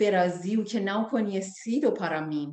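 In a Persian accent, a woman speaks with a dark, mellow tone against audible room echo. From Iran. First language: Persian (speaking Portuguese). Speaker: singer. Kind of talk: interview. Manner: halting.

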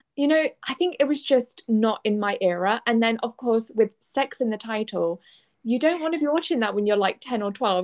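A lively intonation with a British accent at a moderate pace, in a dry, close sound with no echo. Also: woman. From UK. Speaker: podcast co-host. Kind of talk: casual chat.

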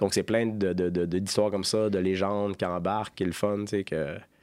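A very deep, low male voice in monotone, flat intonation at a moderate pace, in a very clean recording with a silent background. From Gaspésie, Quebec. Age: 40s. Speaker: microbrewery co-owner. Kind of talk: casual interview. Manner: halting, many repetitions.

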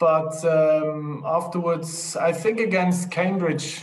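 Strong room echo around a man's fairly high-pitched voice, slow in pace and fairly even in intonation

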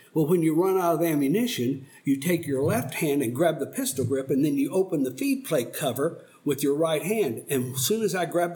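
Somewhat breathy and dark, mellow in tone, a man with an American accent speaks at a fairly high pitch with ordinary pitch variation. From Oklahoma. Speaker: Vietnam War veteran. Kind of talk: elder telling war story in a slow, reflective recounting of life. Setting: podcast studio sit-down interview. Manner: halting, reflective, searching for memories.

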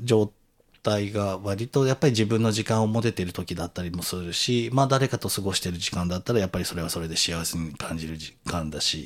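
A man with an unremarkable speaking voice talks at a moderate pace in a fairly low pitch with lively intonation. The recording is very clean, with a silent background. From Tokyo. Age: 40s. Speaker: podcast host appearing as guest. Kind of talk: casual conversation. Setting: recording with guest's own equipment.

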